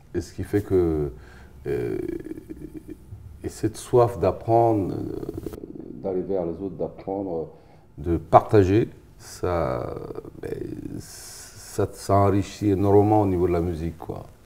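Speaking at a very slow pace with long, frequent pauses, a man uses a fairly low pitch and ordinary pitch variation. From Africa. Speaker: musician and bandleader; guest. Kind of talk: interview. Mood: warm, smiling. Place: studio. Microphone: lapel.

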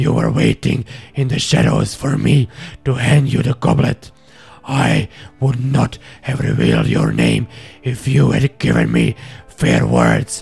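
In a put-on character voice, a man speaks at a very deep, low pitch and a fairly slow pace. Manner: surly, snarling, defiant.

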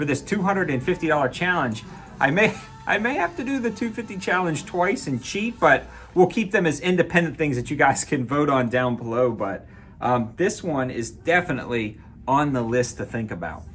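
The speech moves at a moderate pace. Faint music plays in the background. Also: man. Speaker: gun channel vlogger. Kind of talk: casual vlog chat. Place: shop. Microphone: phone near.

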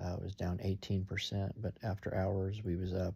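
With a dark, mellow tone and vocal fry, a man speaks at a moderate pace in a very deep, low voice, his intonation fairly even. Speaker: stock market vlogger. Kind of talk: casual video update. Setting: at home at night. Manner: hesitant, many fillers. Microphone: phone near.

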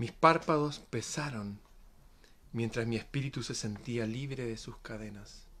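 With a dramatic tone, a man speaks at a fairly slow pace, his bright, sharp voice swinging widely in loudness and showing ordinary pitch variation over light background noise. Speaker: poet reading aloud. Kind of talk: poetic reading aloud, solemn and dreamlike, in a devotional tone; casual greeting and commentary to viewers. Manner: slow, measured and dramatic, with a rhythmic, hushed, reverent delivery. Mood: calm, solemn. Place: home room. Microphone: phone near.

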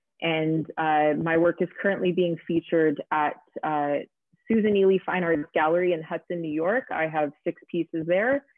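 A plain, everyday voice moves at a moderate pace with ordinary pitch variation. The background is quiet and the sound is dry with no echo. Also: woman. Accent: Canadian. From Ontario, Canada (Aurora, north of Toronto); Ontario. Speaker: visual artist and special effects makeup artist; guest. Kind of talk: casual interview. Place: home room.

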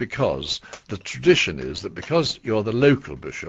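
At a moderate pace, a man speaks with vocal fry and very wide pitch swings. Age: 80s+. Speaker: retired bishop. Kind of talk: radio interview answer. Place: studio.

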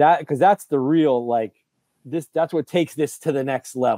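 In a dry, close sound with no echo, a man speaks at a fairly slow pace with a medium-pitched, dark, mellow voice and ordinary pitch variation.

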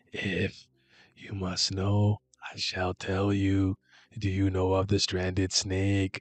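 A man's put-on character voice, fairly low in pitch, flat and monotone, at a very slow pace. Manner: dramatic, theatrical.

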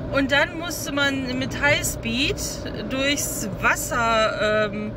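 Recorded dry with no echo but with noticeable background noise, a woman speaks at a very slow pace. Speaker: vlogger. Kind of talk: casual vlog chat. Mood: relaxed, chatty. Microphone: phone near.

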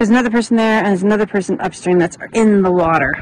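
Speaking at a very fast pace with fairly even intonation, a woman is heard in a dry recording with no echo and light background noise. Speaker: travel vlogger. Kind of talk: casual vlog chat. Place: open country. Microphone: phone near.

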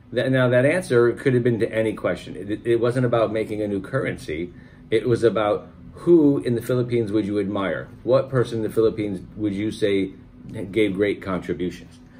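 Light background noise accompanies a man's fairly low voice. He talks at a fairly quick pace with ordinary pitch variation. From United States. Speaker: channel host's husband giving pageant reactions; reviewer, husband of the channel host. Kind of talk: casual commentary review; casual reaction commentary. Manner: halting, many fillers. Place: home room. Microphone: phone near.

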